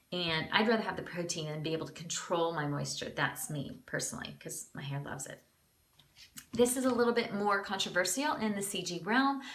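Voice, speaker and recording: In a room with audible echo, a woman talks fairly quickly at a medium pitch, her intonation lively and her loudness swinging widely. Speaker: beauty vlogger. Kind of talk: product review tutorial. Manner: casual, chatty.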